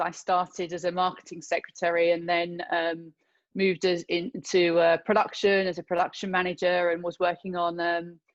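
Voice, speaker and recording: A woman with a British accent speaks at a moderate pace and a medium pitch against a quiet background. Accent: British accent, fully kept. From London, England. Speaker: filmmaker and actor. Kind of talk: interview.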